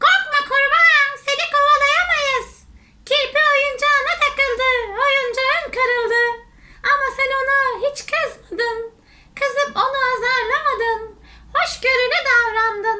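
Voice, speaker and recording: Pitched extremely high, the put-on character voice moves at a fairly slow pace with long, frequent pauses. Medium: read story. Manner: stern, lecturing.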